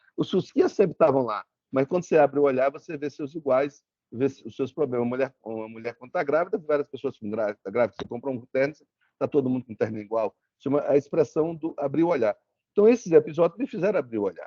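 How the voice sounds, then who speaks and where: Speaking at a very fast pace with lively intonation, a man talks with a strong northeastern Brazilian accent. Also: fairly high pitch for a man. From Brazil, Sergipe interior (Propriá). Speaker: lawyer, guest lecturer. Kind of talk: lecture. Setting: video call. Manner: repetitive false starts.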